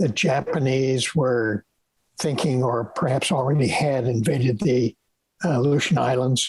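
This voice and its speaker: A man of medium pitch with an American accent speaks at a fairly slow pace, somewhat breathy, with very even loudness and ordinary pitch variation. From raised abroad (Yukon, Bahrain, Holland, Lebanon), then New York. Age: 80s+. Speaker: retired professor of pathology. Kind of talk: interview conversation. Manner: halting.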